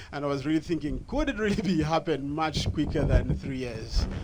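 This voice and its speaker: A man whose pitch is fairly high talks at a moderate speed, his pitch rising and falling in an ordinary way, while noticeable noise fills the background. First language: not English. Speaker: audience member asking a question. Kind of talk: public Q&A question. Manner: halting.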